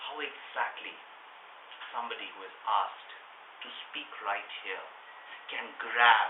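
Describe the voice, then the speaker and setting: A man speaking at a fairly slow pace, with long, frequent pauses, audible room echo and noticeable background noise. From India. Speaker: public speaking workshop leader. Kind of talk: workshop. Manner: loud.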